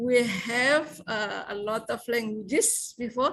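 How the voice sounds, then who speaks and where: Against a quiet background, a woman with a South Sulawesi accent speaks at a very slow pace in a high pitch with ordinary variation. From South Sulawesi, Indonesia (Bugis). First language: Bugis. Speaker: English lecturer. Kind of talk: seminar discussion remarks. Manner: halting, many fillers.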